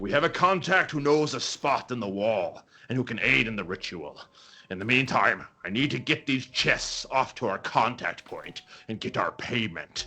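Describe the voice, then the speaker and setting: At a moderate pace, a man does a put-on character voice at a medium pitch. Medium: actual play. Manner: brisk, calculating.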